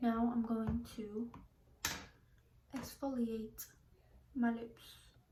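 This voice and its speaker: A woman's voice with audible room echo. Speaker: beauty vlogger. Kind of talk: makeup tutorial chat. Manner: whispering.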